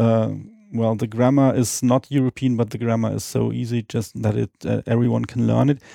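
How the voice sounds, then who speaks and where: Male speech at a moderate tempo, close and dry with no echo. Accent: non-native. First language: not English. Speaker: Esperanto speaker guest. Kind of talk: casual interview on language. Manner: halting with many fillers.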